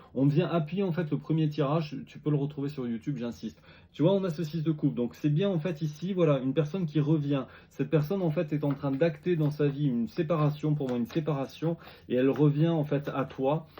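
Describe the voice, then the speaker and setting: A man with a fairly high pitch talks in a somewhat breathy voice of dark, mellow tone, his intonation fairly even. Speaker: tarot reader. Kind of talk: tarot reading video. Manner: fast; halting, repetitive.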